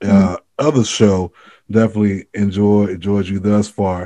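This man has a fairly low pitch and a dark, mellow tone, speaking with an American accent. His pace is moderate. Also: quiet background. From Florida, US. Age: 30s. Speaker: podcast host. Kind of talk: casual interview. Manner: animated.

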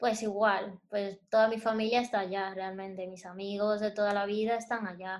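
In a monotone, flat intonation at medium pitch, a woman speaks at a moderate pace with hardly any pauses. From Dominican Republic, Santo Domingo. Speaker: interior designer and illustrator. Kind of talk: interview. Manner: calm.

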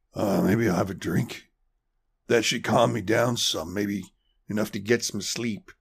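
A man puts on a raspy character voice, fairly low in pitch, with ordinary pitch variation. He keeps a moderate pace but takes long, frequent pauses. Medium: audio drama. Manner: gruff, defensive.

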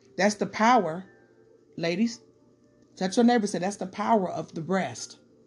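Lively intonation and an American accent come through with music playing in the background. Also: woman. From Detroit, Michigan. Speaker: podcaster doing Bible study. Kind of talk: casual Bible study talk. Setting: home recording.

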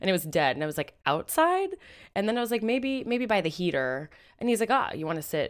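Very fast and fairly high-pitched, a woman speaks with very wide pitch swings in a very clean recording with a silent background. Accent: American. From Seattle, US Pacific Northwest. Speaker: podcast host. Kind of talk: casual chat.

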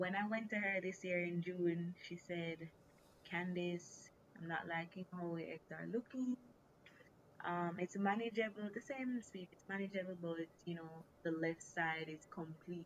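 A woman with a normal speaking voice, fairly low in pitch, at a fairly slow pace with fairly even intonation. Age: 20s. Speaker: recent graduate sharing health story. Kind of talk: casual interview.

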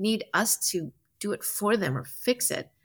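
On a very clean recording with a silent background, a woman of medium pitch with a General American accent speaks with very wide pitch swings. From Colorado, US. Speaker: film producer and entrepreneur. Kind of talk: casual interview.

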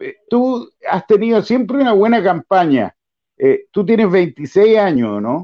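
A man with a Chilean accent speaks in a high pitch with lively intonation. His pace is very slow. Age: 60s. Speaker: football show host. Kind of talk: casual interview.

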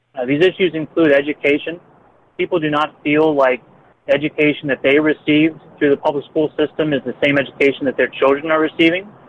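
A man talks at a very fast pace with an American accent. His pitch is fairly high, and his intonation stays fairly even. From northern Baltimore County, Maryland. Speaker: state legislature candidate, ambulance company owner. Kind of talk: interview.

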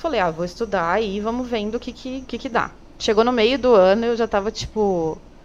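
A woman with a fairly high pitch and an unremarkable speaking voice talks at a moderate pace. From São Paulo, Brazil. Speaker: emergency medicine resident. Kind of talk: interview.

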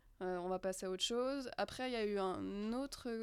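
A woman's medium-pitched, ordinary speaking voice at a moderate pace, with ordinary pitch variation. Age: 20s. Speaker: film student and production assistant. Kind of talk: casual round-table chat.

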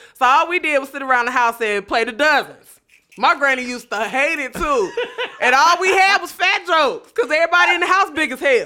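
Speaking at a fairly quick pace with an American accent, the voice is raised and projected. Its tone is bright and sharp, with very wide pitch swings. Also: woman, high pitch for a woman. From North Chicago, Illinois. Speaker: comedian. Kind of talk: casual chat. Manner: animated.

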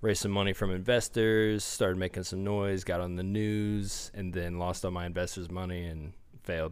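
Monotone, flat intonation with audible room echo. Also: man, very deep, low pitch for a man, moderate pace. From small-town northeast Indiana. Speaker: fitness magazine publisher. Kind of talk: casual chat. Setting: studio.

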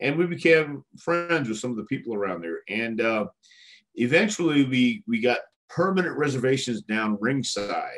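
A man with a Texan accent talks at a moderate pace, his medium pitch swinging very widely. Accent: Texan American. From Texas (El Paso, then Houston). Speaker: retired pro wrestler and wrestling trainer. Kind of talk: interview. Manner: halting, many fillers.

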